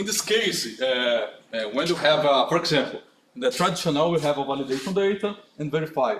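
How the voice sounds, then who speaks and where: Talking at a fairly quick pace, a man with a fairly high pitch uses lively intonation. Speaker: conference speaker. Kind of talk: technical talk with Q&A. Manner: halting, many fillers.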